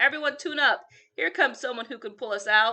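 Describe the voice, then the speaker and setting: A woman in a put-on character voice, raised and projected, at a high pitch and fairly quick pace. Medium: read story.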